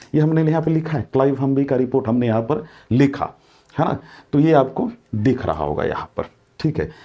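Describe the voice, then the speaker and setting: With a dark, mellow tone, a man speaks at a fairly high pitch with ordinary pitch variation. His pace is moderate, broken by long, frequent pauses. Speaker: exam coaching teacher. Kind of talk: lecture.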